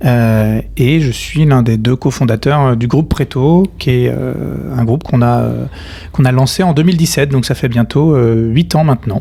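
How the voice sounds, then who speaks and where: Very even loudness at a moderate pace, with noticeable background noise. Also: man, medium pitch for a man, ordinary pitch variation. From western France (Nantes). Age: 30s. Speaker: company co-founder. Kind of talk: podcast interview.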